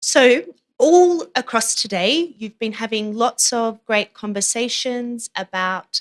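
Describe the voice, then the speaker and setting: With an Australian accent, a woman speaks at a fairly high pitch. Her pace is fairly slow, and the sound is dry and close with no echo. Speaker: humanitarian protection advisor. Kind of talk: conference presentation.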